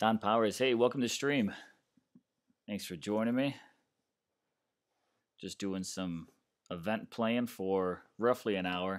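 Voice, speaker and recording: A man's fairly low voice at a fairly slow pace, with ordinary pitch variation, long, frequent pauses, and a very clean recording over a silent background. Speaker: streamer. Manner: casual, joking.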